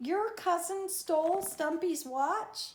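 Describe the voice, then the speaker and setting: In a put-on character voice, the speaker talks at a very slow pace with an extremely high pitch. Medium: read story.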